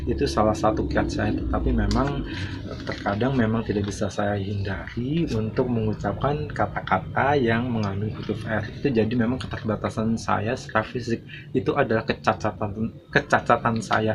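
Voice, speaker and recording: Over noticeable background noise, a man talks at a moderate pace with a fairly low pitch and lively intonation. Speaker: YouTube channel owner, vlogger. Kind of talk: motivational monologue to viewers. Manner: halting, many filler sounds.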